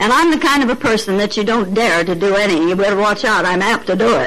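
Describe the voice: A woman with a fairly bright tone and lively intonation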